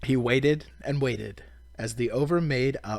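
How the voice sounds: This is a natural reading voice. Nothing else stands out.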